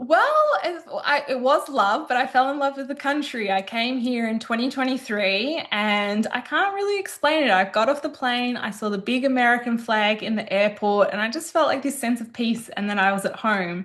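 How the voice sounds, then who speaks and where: Over noticeable background noise, a woman with a high voice and an Australian accent speaks with lively intonation and hardly any pauses. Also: moderate pace. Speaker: business consultant. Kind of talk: podcast interview.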